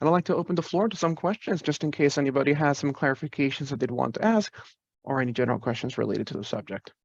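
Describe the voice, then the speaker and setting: Delivered at a very fast pace with lively intonation, the voice sounds dry, with no echo. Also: man, fairly high pitch for a man. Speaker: IT staff presenter; presenter. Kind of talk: virtual presentation with Q&A. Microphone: webcam.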